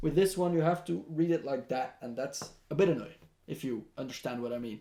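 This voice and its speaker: A man talks at a fairly quick pace. His pitch is fairly high and his intonation lively. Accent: non-native. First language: not English. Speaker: tech reviewer. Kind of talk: product review. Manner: casual, with many hesitations.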